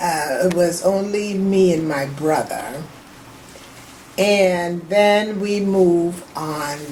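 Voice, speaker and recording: In an American accent, a woman speaks very slowly with long, frequent pauses, a fairly low pitch and ordinary pitch variation, amid noticeable background noise and audible room echo. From US South, Charleston, South Carolina. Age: 70s. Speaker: family elder interviewee. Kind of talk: oral history interview. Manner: halting.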